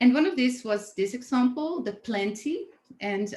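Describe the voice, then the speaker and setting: A woman speaks at a moderate pace with lively intonation. Her voice is somewhat breathy. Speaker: design event curator. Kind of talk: webinar presentation. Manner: halting, many fillers.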